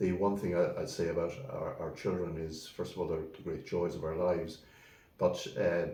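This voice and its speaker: Over audible room echo, a man with a western Irish accent talks at a moderate pace. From Ireland, County Mayo (Swinford). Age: 70s. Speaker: solicitor. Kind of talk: interview. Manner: halting.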